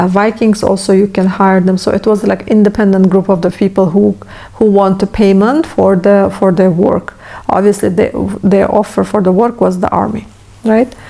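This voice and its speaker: With a non-native accent, a woman speaks at medium pitch with fairly even intonation and very even loudness over noticeable background noise. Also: moderate pace. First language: not English. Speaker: history youtuber. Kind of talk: educational monologue. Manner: halting.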